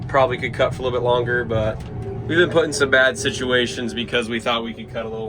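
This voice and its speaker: Over music in the background and audible room echo, a man speaks at a very fast pace with a medium pitch and fairly even intonation. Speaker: custom wheat harvester vlogger. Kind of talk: casual vlog narration. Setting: in a combine cab. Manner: loud, raised voice.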